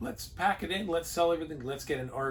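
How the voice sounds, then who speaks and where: This man's voice is somewhat breathy, moving at a fairly quick pace, and his pitch varies in an ordinary way. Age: 60s. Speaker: RV travel vlogger, retired sheet metal worker. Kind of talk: casual chat.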